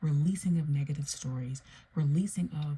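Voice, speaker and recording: Soft-spoken and somewhat breathy, a woman talks with a dark, mellow tone at a very deep, low pitch, her intonation fairly even. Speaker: tarot reader. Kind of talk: tarot reading monologue. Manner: soft-spoken, low.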